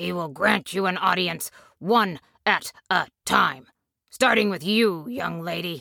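Using a put-on character voice, a woman growls at a medium pitch and a fairly slow pace. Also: ordinary pitch variation. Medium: audio drama.

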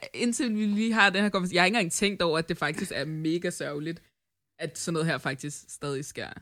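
A woman's fairly low voice, with ordinary pitch variation, comes at a moderate pace through a very clean recording over a silent background. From Denmark. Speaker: podcast host. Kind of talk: casual chat.

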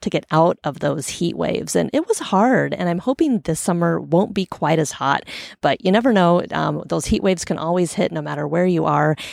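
With a West Coast US accent, a woman talks at a moderate pace in a fairly low voice, the sound dry and close with no echo. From US Pacific Northwest, Portland, Oregon. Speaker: podcast host. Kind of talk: solo podcast monologue. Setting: outdoors on a sailboat stern. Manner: casual, conversational.

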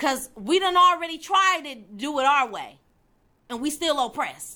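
A woman speaks at a high pitch in a raised, projected voice with a bright, sharp tone. Her delivery is animated, moving at a moderate pace with very wide pitch swings. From Detroit, Michigan, US. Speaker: faith show host, Bible teacher. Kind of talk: religious teaching monologue. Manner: animated, emphatic.

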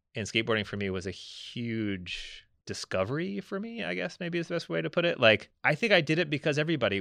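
A bright, sharp voice with an American accent moves at a fairly quick pace with very wide pitch swings. The sound is dry and close with no echo, over a quiet background. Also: man. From US South (Memphis, Tennessee). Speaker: art professor. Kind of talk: casual interview.

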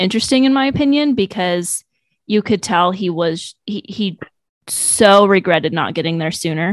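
A woman talks at a moderate pace with lively intonation in a medium-pitched, normal speaking voice. The sound is dry and close, with no echo. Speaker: podcast co-host. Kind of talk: casual chat.

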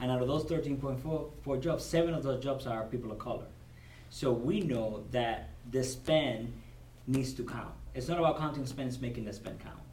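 Here a man speaks with a Cuban accent. His pitch is medium. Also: ordinary pitch variation, moderate pace. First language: Spanish. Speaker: corporate supplier diversity director. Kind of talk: interview. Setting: at a business convention.

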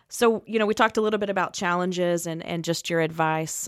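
An ordinary speaking voice moves at a fairly quick pace with fairly even intonation, on a very clean recording with a silent background and a dry, close sound with no echo. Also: woman. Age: 30s. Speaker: incoming executive director of a rescue mission, podcast co-host. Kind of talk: interview questions in casual chat.

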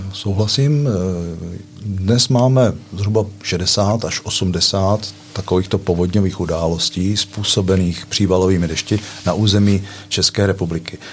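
In a normal speaking voice, a man talks fairly slowly at a fairly low pitch, with fairly even intonation and very even loudness. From eastern Bohemia, Czechia (Litomyšl). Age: 60s. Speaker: water management engineer. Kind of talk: casual chat.

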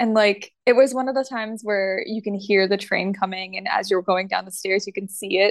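With a normal speaking voice, a woman talks at a moderate pace, her medium pitch carried by fairly even intonation. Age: 20s. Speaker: fashion model. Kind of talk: casual interview.

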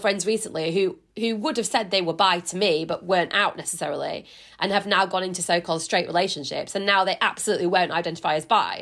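Speaking with a Yorkshire accent at a very fast pace, a woman keeps a medium pitch and ordinary pitch variation. The recording is very clean, with a silent background. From West Yorkshire. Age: 30s. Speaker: journalist and broadcaster. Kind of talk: casual chat.

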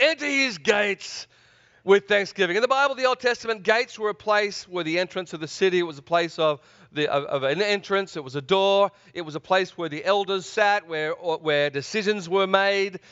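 With a slight Australian accent, a man speaks at a moderate pace in a high pitch, his tone enthusiastic and his intonation lively. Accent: mild Australian. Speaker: preacher. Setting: church service. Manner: enthusiastic, engages audience.

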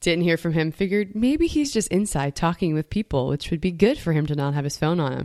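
With an American accent, a woman has an unremarkable speaking voice, fairly low in pitch, and talks at a fairly quick pace. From US South, Metairie, Louisiana. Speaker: campus minister and bioethics doctoral student. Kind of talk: casual chat.

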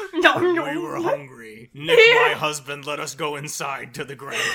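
This is a put-on character voice. It moves along at a moderate pace. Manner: menacing, monstrous.

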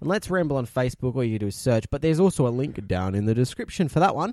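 Speaking with an Australian accent, a man at a medium pitch makes very wide pitch swings. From South Australia. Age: 20s. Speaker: podcast co-host. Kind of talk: casual chat. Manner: animated.

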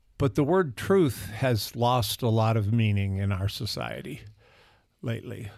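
A man in a plain, everyday voice, medium in pitch, at a fairly slow pace with ordinary pitch variation, on a very clean recording with a silent background. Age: 60s. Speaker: pastor. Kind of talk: casual chat.

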